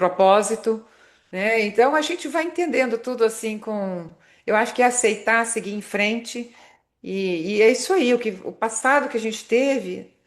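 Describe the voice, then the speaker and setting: A woman speaks at a moderate pace in a plain, everyday voice. Her pitch is fairly high, with ordinary variation. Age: 60s. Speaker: marketing consultant and motivational speaker. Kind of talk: podcast interview.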